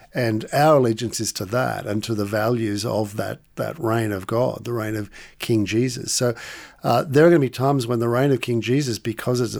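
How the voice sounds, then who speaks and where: With an Australian accent, a man talks at a moderate pace and a medium pitch, with ordinary pitch variation, on a very clean recording with a silent background. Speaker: author and lecturer. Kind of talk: interview conversation.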